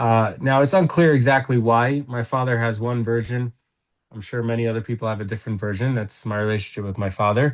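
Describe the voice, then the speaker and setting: A man's ordinary speaking voice at a medium pitch and fairly quick pace, with ordinary pitch variation. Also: quiet background. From United States, moved from England at seven. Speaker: guest in recovery from addiction. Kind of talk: interview.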